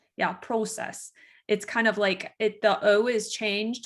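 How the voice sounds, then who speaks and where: On a very clean recording with a silent background, a woman with an American accent talks at a fairly slow pace and fairly high pitch. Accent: nasal Michigan accent, some Minnesotan. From US, lower Michigan. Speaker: funeral director. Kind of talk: casual interview chat.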